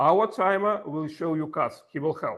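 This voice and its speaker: A man speaks at a moderate pace with a strong Russian accent. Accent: heavy Russian. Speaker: table topics master at a speaking club. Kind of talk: workshop instruction.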